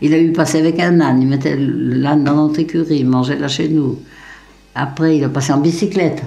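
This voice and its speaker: A woman with a very deep, low voice talks fairly quickly in a flat monotone. Noticeable background noise and audible room echo surround her. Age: 80s+. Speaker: elderly villager sharing memories. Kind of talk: oral history interview. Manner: halting, repetitive.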